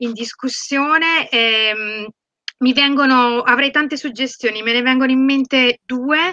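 Against a quiet background, a woman speaks at a fairly slow pace in a bright, sharp tone with ordinary pitch variation. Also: dry sound with no echo. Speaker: project coordinator. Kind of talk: webinar question. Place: home room. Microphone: very poor audio; video call.

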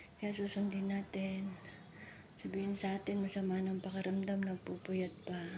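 A woman at a medium pitch and moderate pace, monotone and flat in intonation, amid noticeable background noise. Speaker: vlogger and domestic worker. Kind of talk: casual vlog walkthrough.

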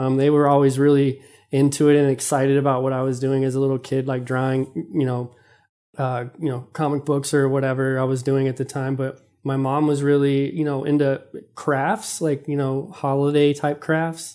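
With an American accent, a man talks at a moderate pace and a fairly high pitch. His tone is dark and mellow, and his intonation is monotone and flat. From Texas, Dallas (Oak Cliff). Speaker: visual artist. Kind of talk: casual interview.

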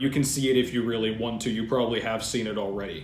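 A man's voice with fairly even intonation, audible room echo and light background noise. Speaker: fitness channel host. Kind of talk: commentary. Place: home room. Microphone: webcam.

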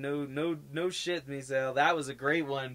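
A man with an American accent speaks in an ordinary speaking voice at a moderate pace. His pitch is fairly high and his intonation fairly even. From Denver, Colorado. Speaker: podcast co-host. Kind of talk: casual chat. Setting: live stream.

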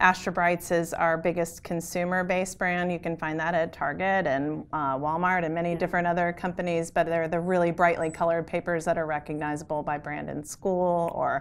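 With hardly any pauses, a woman talks in a fairly low pitch and a monotone, flat intonation. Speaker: guest. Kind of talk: interview answer. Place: hall. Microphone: lapel.

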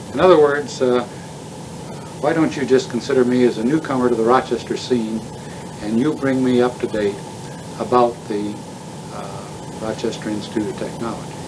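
Amid noticeable background noise, a man speaks with ordinary pitch variation and long, frequent pauses. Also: moderate pace. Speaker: oral history interviewer. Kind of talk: formal interview questions. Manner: formal, courteous. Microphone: old recording.

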